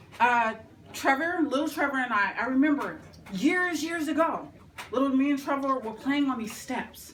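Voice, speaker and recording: Loud and high-pitched, a woman talks at a moderate pace with ordinary pitch variation and audible room echo. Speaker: tribute speaker. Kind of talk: tribute speech; reading aloud.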